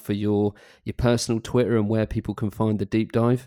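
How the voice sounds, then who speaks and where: Speaking with a British accent, a man with a dark, mellow tone and fairly low pitch talks at a fairly quick pace in monotone, flat intonation, the sound dry and close with no echo on a very clean recording with a silent background. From UK. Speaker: podcast host. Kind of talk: casual interview.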